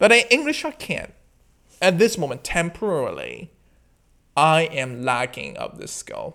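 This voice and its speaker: On a very clean recording with a silent background, a man with a Chinese accent speaks with big swings in loudness and long, frequent pauses. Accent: Mandarin Chinese accent in English. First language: Mandarin. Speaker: podcast host. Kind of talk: casual monologue. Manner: halting.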